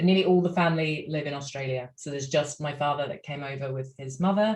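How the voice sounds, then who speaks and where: A woman with a British accent speaks at a fairly quick pace in a very deep, low pitch. Her voice is somewhat breathy and her intonation fairly even. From UK. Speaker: opera singer. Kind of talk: casual chat.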